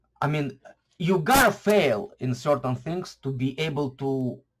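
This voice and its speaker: At a very slow pace, a man with a non-native accent speaks in a somewhat breathy voice with ordinary pitch variation. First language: not English. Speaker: YouTuber on online marketing. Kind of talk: casual vlog talk to camera. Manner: halting, many fillers and restarts.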